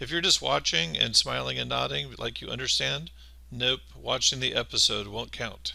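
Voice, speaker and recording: Very deep and low, the man's voice has a bright, sharp tone, vocal fry, and very wide pitch swings at a moderate pace. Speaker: maths teacher. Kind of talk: tutorial. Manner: casual, conversational.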